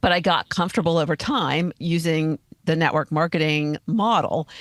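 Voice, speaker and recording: An unremarkable speaking voice from a woman, fairly low in pitch, at a moderate pace, in a dry, close sound with no echo and a very clean recording with a silent background. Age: 60s. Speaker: podcast host and life coach. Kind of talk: interview.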